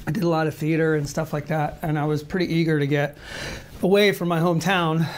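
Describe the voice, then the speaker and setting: A man speaks very fast in a flat, monotone delivery with an American accent, his pitch fairly high, over noticeable background noise. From US South (Marietta, Georgia). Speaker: actor and writer. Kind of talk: interview. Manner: hesitant, many fillers.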